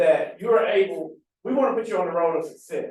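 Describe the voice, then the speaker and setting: Loud and with lively intonation, a man talks at a moderate pace amid audible room echo. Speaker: government farm agency official. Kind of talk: panel Q&A answer. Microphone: speaking without a mic.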